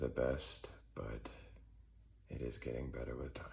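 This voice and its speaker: Vocal fry marks a man's voice, heard with audible room echo. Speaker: spiritual talker. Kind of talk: spiritual monologue. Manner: halting, searches for words.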